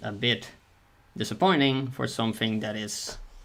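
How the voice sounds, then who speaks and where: A soft-spoken, mumbling man with a non-native accent, his bright, sharp tone at medium pitch with ordinary pitch variation. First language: not English. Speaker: streamer and artist. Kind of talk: casual livestream chat while drawing. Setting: livestream. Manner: mumbling, soft articulation; halting, repeats words.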